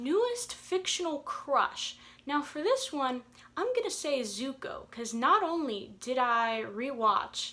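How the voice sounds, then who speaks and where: An animated, bright, sharp tone in a raised, projected voice, full of very wide pitch swings. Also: woman. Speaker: book vlogger. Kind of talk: casual chat.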